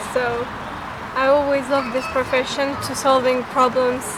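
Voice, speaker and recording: Noticeable background noise and audible room echo surround a woman's high-pitched voice. She talks at a fairly quick pace with fairly even intonation. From Uzbekistan. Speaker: political science student. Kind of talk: casual chat. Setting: outdoors.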